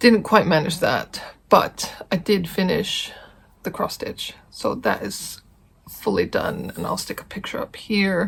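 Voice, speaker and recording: A woman speaks at a fairly slow pace, her loudness swinging widely. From Iceland, childhood partly in Texas. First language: Icelandic. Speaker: cross-stitch video blogger. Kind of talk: casual vlog chat. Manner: frequent filler 'um'.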